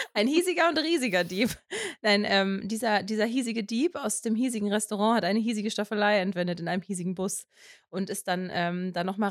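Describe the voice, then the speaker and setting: Recorded very cleanly with a silent background and a dry, close sound with no echo, a woman of medium pitch speaks at a moderate pace. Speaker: podcast co-host. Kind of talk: casual chat. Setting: home office in the attic, in person.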